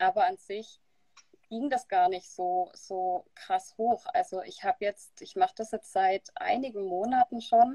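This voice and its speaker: Speaking at a fairly slow pace, a woman with a fairly high pitch and a dark, mellow tone shows very wide pitch swings and big swings in loudness, in a dry, close sound with no echo. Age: 20s. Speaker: keto dieter sharing her experience. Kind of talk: interview on a live stream. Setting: live video stream.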